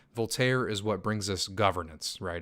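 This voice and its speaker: Here a man talks at a fairly quick pace and fairly low pitch with ordinary pitch variation. The recording is very clean, with a silent background. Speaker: crypto YouTuber. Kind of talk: livestream Q&A. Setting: live stream reading chat. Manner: quieter, less energetic than usual; casual, filler-heavy.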